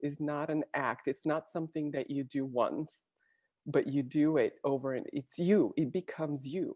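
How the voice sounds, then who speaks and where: Her voice has a very deep, low pitch and a dark, mellow tone, with fairly even intonation. The woman sounds dry and close with no echo against a quiet background. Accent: Bulgarian. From Bulgaria. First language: Bulgarian. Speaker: Olympic athlete and executive coach. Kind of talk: interview.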